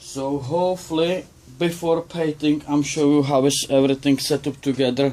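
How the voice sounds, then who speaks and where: In a non-native accent, the voice has a dark, mellow tone and monotone, flat intonation at a moderate pace. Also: man, fairly high pitch for a man. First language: not English. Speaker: RC model builder. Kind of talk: tutorial; casual build update vlog. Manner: halting. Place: workshop. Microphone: phone near.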